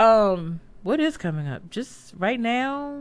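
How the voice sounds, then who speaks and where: With an American accent, a woman speaks with very wide pitch swings on a very clean recording with a silent background. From Washington, D.C. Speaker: concert photographer. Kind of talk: casual chat. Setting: studio.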